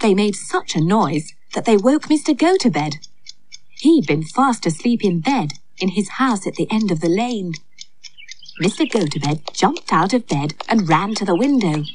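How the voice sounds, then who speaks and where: This woman speaks at a medium pitch and a moderate pace, her tone gentle and somewhat breathy. Her pitch swings very widely. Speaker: storyteller and actor playing Aunt Flo. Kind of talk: storybook narration. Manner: gentle, lilting, expressive storyteller tone; warm and cheery as Aunt Flo.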